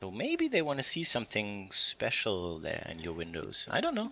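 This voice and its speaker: With a German accent, this voice keeps to a moderate pace. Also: man. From Germany (Bavaria). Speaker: game community stream host. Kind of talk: casual livestream chat with Q&A. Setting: recorded online stream.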